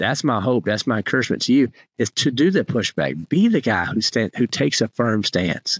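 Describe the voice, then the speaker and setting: With vocal fry, a man talks at a fairly quick pace in a dry recording with no echo and a quiet background. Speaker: podcast host. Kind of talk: podcast monologue, exhortation. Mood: earnest, encouraging. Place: home room. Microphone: studio mic.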